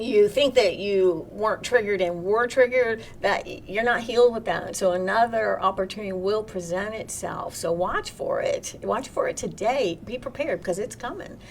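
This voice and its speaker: A woman with a Southern US accent at a moderate pace, ordinary pitch variation, and noticeable background noise. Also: fairly high pitch for a woman, hardly any pauses. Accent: Southern US twang. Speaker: spiritual workshop host. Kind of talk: live online workshop with chat.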